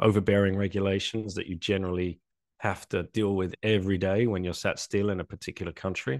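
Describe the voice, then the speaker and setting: Speaking at a moderate pace with a southeast English accent, a man is heard in dry, close sound with no echo and a quiet background. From England, Essex. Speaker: bitcoin advocate, former finance worker. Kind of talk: casual interview. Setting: video call.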